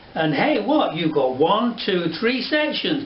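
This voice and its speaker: Someone speaks at a fairly slow pace, with audible room echo and noticeable background noise. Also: man. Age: 70s. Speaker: hairdresser and educator. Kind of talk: tutorial. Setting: studio. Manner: animated.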